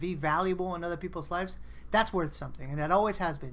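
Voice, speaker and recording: A woman speaks in an animated tone, with audible room echo. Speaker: online community meeting host. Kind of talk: casual group video chat.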